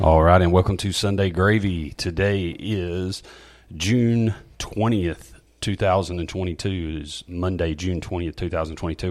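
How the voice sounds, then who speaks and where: Someone with a Southern US accent talks at a moderate pace with fairly even intonation. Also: man. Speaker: church podcast host. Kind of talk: casual chat.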